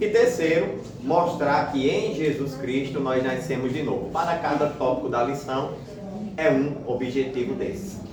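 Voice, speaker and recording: A man speaks at a fairly slow pace in a fairly high pitch, with audible room echo and noticeable background noise. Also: ordinary pitch variation. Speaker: Sunday school teacher. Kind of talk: Bible class lesson. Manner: speaking quietly.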